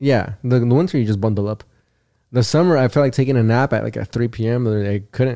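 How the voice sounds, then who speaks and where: A man with a Californian accent speaks at a fairly quick pace, medium in pitch with ordinary pitch variation. His tone is dark and mellow, and the background is quiet. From Southern California (Perris). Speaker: comedian. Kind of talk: casual chat. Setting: studio. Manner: fast.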